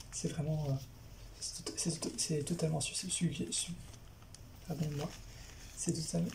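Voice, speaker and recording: A soft-spoken woman is whispering. Her speech has long, frequent pauses. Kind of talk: soft-spoken ASMR talk to camera, manga review. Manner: soft-spoken, whispering.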